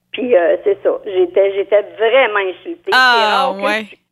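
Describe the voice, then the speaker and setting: A woman's unremarkable speaking voice, fairly high in pitch, at a moderate pace with lively intonation. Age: 60s. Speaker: caller, store clerk. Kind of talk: call-in radio chat.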